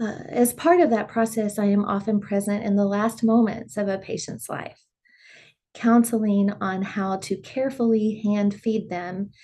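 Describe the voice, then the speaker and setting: Against a quiet background, a woman speaks fairly slowly at medium pitch in a dark, mellow, somewhat breathy tone, her intonation fairly even. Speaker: speech pathologist and singer-songwriter. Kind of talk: interview.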